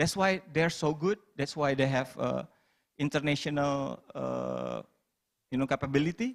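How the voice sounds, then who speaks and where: Someone speaks at a fairly slow pace with an Indonesian accent. The recording is very clean, with a silent background. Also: man. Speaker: stand-up comedian. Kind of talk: panel discussion.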